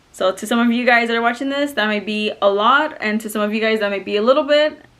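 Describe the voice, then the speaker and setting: Amid noticeable background noise, a woman talks very fast at a fairly high pitch with ordinary pitch variation. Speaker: lifestyle vlogger. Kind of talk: casual vlog. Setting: at home in front of couch. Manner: animated.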